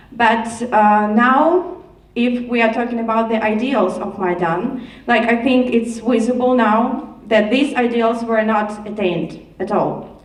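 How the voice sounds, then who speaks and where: A woman speaks at a fairly slow pace and a fairly high pitch with ordinary pitch variation. Noticeable background noise and audible room echo come through. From Ukraine. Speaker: audience member asking a question. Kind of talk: audience question.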